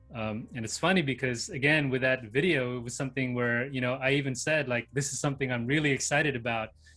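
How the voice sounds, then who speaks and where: Music plays in the background as a man of medium pitch talks at a very fast pace with fairly even intonation and hardly any pauses. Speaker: YouTuber, channel host. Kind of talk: casual chat. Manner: monotone, relaxed; laid back, chill.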